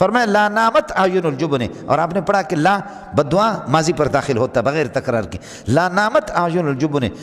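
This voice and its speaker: Noticeable background noise sits under a man whose high-pitched voice carries lively intonation. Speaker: Islamic scholar giving a religious sermon. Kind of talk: Islamic sermon (bayan) with storytelling. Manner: emphatic, passionate, rhetorical, addressing the audience directly.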